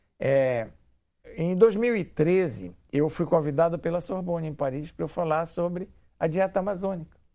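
The man's voice is high-pitched, with a dark, mellow tone. He speaks at a fairly slow pace. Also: quiet background. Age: 70s. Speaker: physician and university director. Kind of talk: TV interview. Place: studio. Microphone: lapel.

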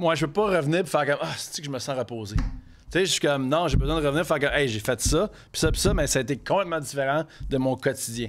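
A man's animated voice at a very fast pace, with ordinary pitch variation. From Quebec City, Quebec; Quebec. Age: 30s. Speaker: chef; podcast guest. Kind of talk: casual chat. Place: studio. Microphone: studio mic.

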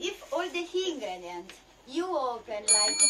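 A woman speaking at a fairly slow pace over loud background noise. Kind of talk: casual cooking tutorial. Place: boat. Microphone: phone near.

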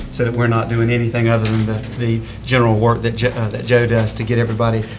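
Amid noticeable background noise, a man talks at a very fast pace in a monotone, flat intonation. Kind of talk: meeting report. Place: meeting room. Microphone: podium.

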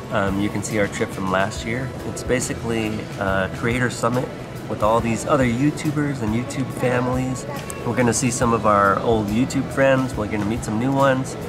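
A man speaks at a moderate pace. Clear music can be heard behind him. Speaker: family vlogger father. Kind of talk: casual vlog chat. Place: station. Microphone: phone near.

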